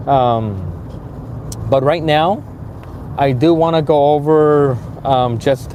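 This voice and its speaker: A man's voice rises and falls in a normal way while clear background noise can be heard. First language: Spanish. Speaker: HVAC instructor. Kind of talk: live stream chat. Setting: live stream. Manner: halting, many fillers.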